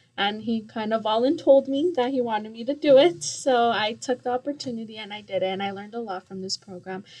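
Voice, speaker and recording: Speaking fairly quickly with a Spanish accent, a woman uses ordinary pitch variation. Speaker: youth mentor, assistant director. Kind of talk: radio interview. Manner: hesitant, many fillers.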